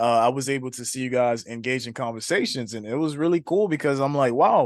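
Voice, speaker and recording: Animated in tone, a man of medium pitch with a Haitian accent speaks at a very fast pace with ordinary pitch variation. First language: Haitian Creole. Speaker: trading coach. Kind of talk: webinar hosting. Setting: online webinar.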